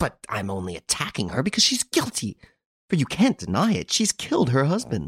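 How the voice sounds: A man performs a put-on character voice with very wide pitch swings, a fairly bright tone and a slightly husky edge. The recording is very clean with a silent background and a dry, close sound with no echo. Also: medium pitch for a man, fairly quick pace.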